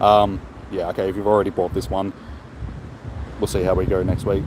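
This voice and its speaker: With an Australian accent, a man speaks at a fairly low pitch over noticeable background noise. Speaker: gaming streamer. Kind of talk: live stream chat. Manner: fast; casual.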